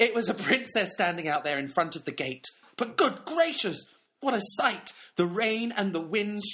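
A man's raised, projected voice, high-pitched with very wide pitch swings, at a moderate pace. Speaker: podcast co-host. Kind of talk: casual chat.

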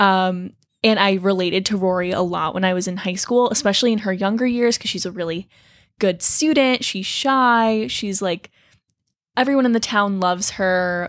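A woman with an American accent speaks in a plain, everyday voice at a medium pitch and moderate pace, with ordinary pitch variation, on a very clean recording with a silent background. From New Jersey, Toms River. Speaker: college student, co-host. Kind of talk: casual chat.

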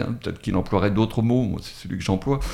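Lively intonation runs through this man's fairly low-pitched voice. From Drôme, France. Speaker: retired author. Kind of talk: radio interview. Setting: radio studio.

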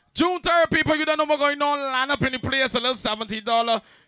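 Raised and projected, a man's voice runs at a very fast pace with a bright, sharp, animated tone. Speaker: party host / dancehall MC. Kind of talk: live promo event with hype MC banter. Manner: animated, hyped up, boastful.

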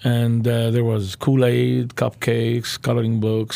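A man speaks at a moderate pace in a medium pitch with a dark, mellow tone. His intonation stays flat and monotone. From Lebanon. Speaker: pastor and church planter. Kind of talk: interview. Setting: studio.

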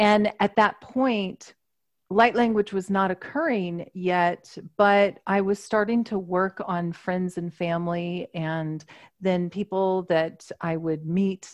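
A woman with a medium pitch speaks with fairly even intonation in a normal speaking voice, recorded with a dry, close sound and no echo. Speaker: energy healer and channel. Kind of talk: casual interview chat.

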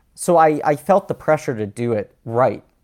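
In a normal speaking voice, a man with an American accent talks at a moderate pace with lively intonation, the sound dry and close with no echo. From New York. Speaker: voice actor and comedian. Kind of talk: casual chat.

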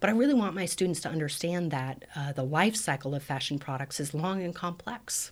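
An unremarkable speaking voice with an American accent runs at a fairly quick pace with lively intonation and hardly any pauses. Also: woman, fairly low pitch for a woman. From Colorado, US. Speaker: professor. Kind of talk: interview.

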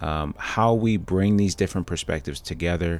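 Keeping a moderate pace, a man delivers his words with fairly even intonation. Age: 30s. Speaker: podcast host. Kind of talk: podcast outro; interview conversation.

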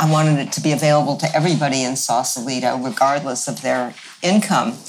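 A woman speaks with a very deep, low pitch. Noticeable background noise is present. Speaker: village co-founder. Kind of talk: casual interview.

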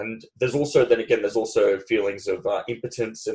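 The man talks very fast in an Australian accent. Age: 30s. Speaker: podcast host. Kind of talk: interview.

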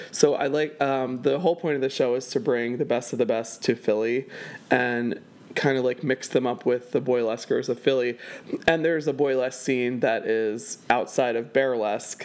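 Ordinary pitch variation marks a plain, everyday voice from a man talking at a medium pitch and a moderate pace. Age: 30s. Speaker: event producer and burlesque performer. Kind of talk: casual interview chat. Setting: home.

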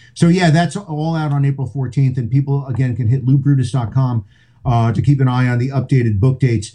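A man with an American accent, fairly quick and somewhat breathy, his tone dark and mellow and his pitch varying an ordinary amount. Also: medium pitch for a man. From New Jersey, Englishtown. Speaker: rock radio host and author. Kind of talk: casual interview chat. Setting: video call from home studio.

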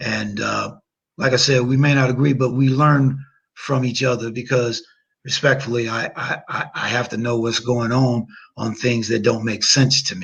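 He speaks at a moderate pace with fairly even intonation. The man has an ordinary speaking voice and a medium pitch. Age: 60s. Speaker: attorney and legal analyst. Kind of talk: casual chat.

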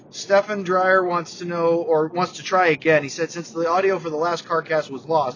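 Over noticeable background noise, a man with a high pitch speaks loudly in an animated tone at a fairly quick pace. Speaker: hockey podcast host. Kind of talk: casual sports chat podcast. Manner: animated, loud.

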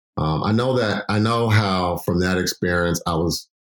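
A man with an American accent speaks in a very deep, low pitch with ordinary pitch variation. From Chicago. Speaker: nonprofit executive director. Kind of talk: interview. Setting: remote recording.

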